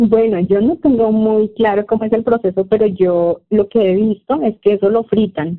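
A woman with a Santander Colombian accent speaks at a moderate pace. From Colombia, Santander (Bucaramanga). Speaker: Spanish teacher and fashion designer. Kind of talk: casual interview.

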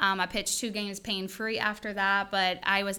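A woman with a Louisiana accent talks at a fairly quick pace in a medium pitch, her tone bright and sharp. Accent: Louisiana Southern. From Louisiana, Denham Springs. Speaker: chiropractor. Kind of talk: casual chat.

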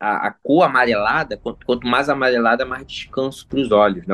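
Using a normal speaking voice, a man talks at a fairly quick pace, medium in pitch with ordinary pitch variation. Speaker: YouTuber, gamebook expert. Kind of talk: casual chat.

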